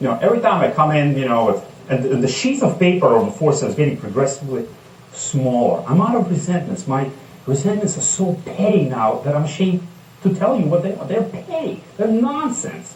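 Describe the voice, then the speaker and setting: A man with a non-native accent and a high pitch, fairly quick pace and very wide pitch swings, amid audible room echo and noticeable background noise. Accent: foreign. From outside the United States. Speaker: recovering alcoholic speaker. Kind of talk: testimony.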